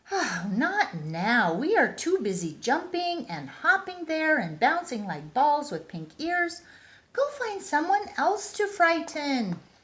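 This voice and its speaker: Her pitch extremely high, a woman performs a put-on character voice. Her delivery is fairly slow. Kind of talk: bedtime story. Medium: read story. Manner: hushed, brisk.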